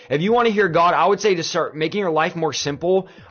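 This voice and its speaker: Music plays in the background as a man talks at a very fast pace. His tone is enthusiastic. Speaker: pastor. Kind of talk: livestream sermon-style talk answering viewer questions. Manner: enthusiastic, conversational.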